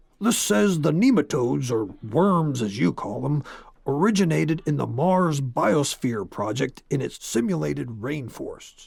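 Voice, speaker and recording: Using a put-on character voice, a man sounds gruff at a fairly high pitch. His pitch swings very widely at a moderate pace. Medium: read story. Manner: gruff, curt.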